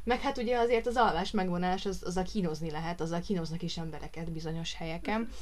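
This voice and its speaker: A woman talks very fast with hardly any pauses, at a fairly low pitch with ordinary pitch variation. Noticeable background noise and audible room echo surround her. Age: 30s. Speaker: podcast co-host, lab technician and new mother. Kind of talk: casual chat.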